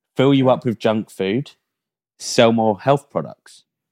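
A man with a British accent and fairly low pitch talks at a fairly slow pace in a very clean recording with a silent background and a dry, close sound with no echo. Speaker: podcast host. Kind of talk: casual banter podcast.

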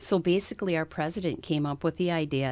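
A woman with a North Dakota accent speaks in a very deep, low pitch. Her pitch varies in an ordinary way. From North Dakota, US. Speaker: bank executive. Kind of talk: interview.

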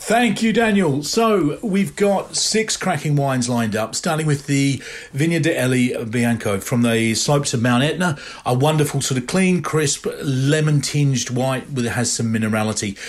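At a moderate pace, a man with a fairly high pitch speaks with lively intonation and very even loudness, with noticeable background noise behind him. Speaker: wine merchant. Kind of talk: sales pitch.

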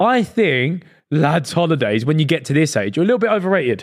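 In a very clean recording with a silent background, the voice races at a very fast pace with very wide pitch swings. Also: man. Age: 20s. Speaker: podcast co-host. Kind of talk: casual chat.

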